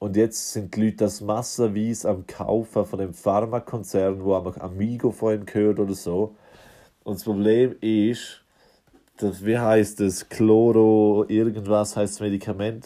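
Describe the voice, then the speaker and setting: A man's fairly low voice, dark and mellow, fairly slow, in a monotone, flat intonation. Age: 20s. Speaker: podcast host. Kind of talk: casual monologue.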